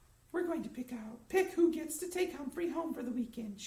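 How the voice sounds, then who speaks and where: A high-pitched put-on character voice at a fairly quick pace. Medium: read story. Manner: firm, clipped.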